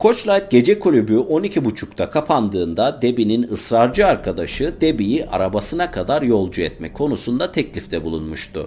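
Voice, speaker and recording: The voice has a dark, mellow tone with vocal fry and very wide pitch swings. It moves at a moderate pace with hardly any pauses. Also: man, medium pitch for a man. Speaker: true-crime narrator. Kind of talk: true-crime storytelling narration.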